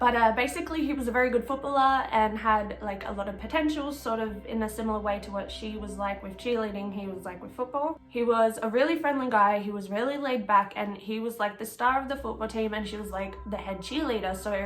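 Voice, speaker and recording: A woman with an Australian accent and a fairly high pitch, at a very fast pace with hardly any pauses, big swings in loudness, audible room echo and noticeable background noise. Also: ordinary pitch variation. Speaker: true crime YouTuber. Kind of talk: casual true crime narration. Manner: chatty, informal with fillers.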